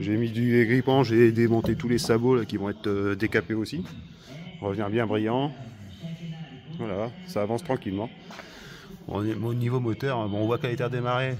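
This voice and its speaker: Pitch varies normally in this fairly brisk speech. Noticeable background noise sits underneath it. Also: man. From northern France, Hauts-de-France (Nord). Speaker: car restorer, video maker. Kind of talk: casual workshop vlog. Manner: casual, many hesitations.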